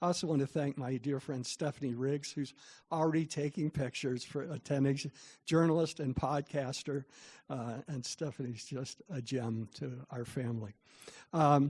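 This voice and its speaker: A somewhat breathy voice with an American accent speaks at a moderate pace with ordinary pitch variation. The background is quiet. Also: man. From US Midwest, southern Missouri. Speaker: author and parenting speaker. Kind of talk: lecture. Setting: live audience in a room. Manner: soft-spoken.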